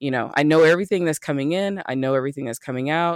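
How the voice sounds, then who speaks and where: With an American accent, a man speaks in a plain, everyday voice at a fairly high pitch with fairly even intonation. The recording is very clean with a silent background, and the sound is dry and close with no echo. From US South, Birmingham, Alabama. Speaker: money coach and business owner. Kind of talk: casual chat.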